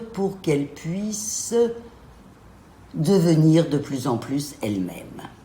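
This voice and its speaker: There is audible room echo around a woman's voice. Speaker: gynecologist. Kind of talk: interview. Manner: hesitant, frequent euh.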